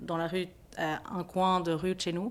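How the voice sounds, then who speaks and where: A woman's fairly low voice on a very clean recording with a silent background. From Belgium, Brussels (Ixelles). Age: 30s. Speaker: social worker. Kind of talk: interview testimony. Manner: hesitant, many fillers and restarts.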